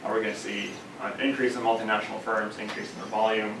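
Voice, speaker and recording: Light background noise sits under the recording. The man's voice carries audible room echo. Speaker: candidate. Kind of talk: lecture. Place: meeting room. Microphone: camera far.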